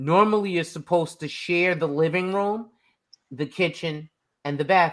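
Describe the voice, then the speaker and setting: A man with a slight New York accent speaks fairly slowly in a high voice, his pitch varying in an ordinary way. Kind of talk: casual chat.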